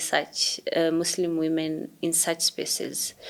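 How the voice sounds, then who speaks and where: Noticeable background noise behind a woman speaking at a fairly low pitch. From Kenya, Somali community. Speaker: digital activist. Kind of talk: interview conversation.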